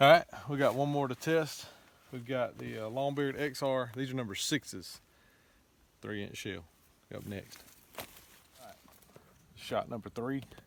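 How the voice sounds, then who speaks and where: Speaking fairly slowly at a medium pitch, a man uses ordinary pitch variation. His loudness swings widely, with long, frequent pauses. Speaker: hunting channel host. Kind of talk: outdoor gear test commentary.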